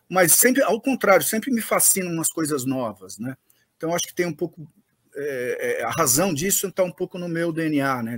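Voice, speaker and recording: Recorded dry and close with no echo, a man with a high pitch talks at a moderate pace, his pitch swinging very widely. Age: 60s. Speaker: M&A advisor and startup investor. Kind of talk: interview. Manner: hesitant, many fillers.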